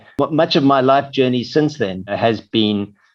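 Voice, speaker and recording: A man with a South African accent talks at a fairly slow pace, using a medium pitch with ordinary variation. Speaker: corporate marketing executive. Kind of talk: interview. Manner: halting, many fillers.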